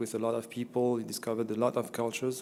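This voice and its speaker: The man's tone is dark and mellow, at a medium pitch. He talks at a fairly quick pace. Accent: French. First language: French. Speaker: event presenter introducing a speaker. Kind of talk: formal introduction of a guest speaker. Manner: hesitant, many filler words.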